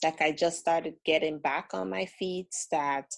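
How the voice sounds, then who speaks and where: A woman's fairly low voice with a strong Caribbean accent, at a fairly slow pace. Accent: thick Caribbean. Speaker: caller. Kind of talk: casual chat. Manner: halting.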